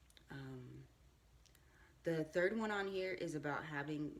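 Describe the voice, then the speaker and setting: With vocal fry and ordinary pitch variation, a woman speaks at a very deep, low pitch. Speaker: vlogger. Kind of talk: casual monologue. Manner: casual, hesitant with many ums.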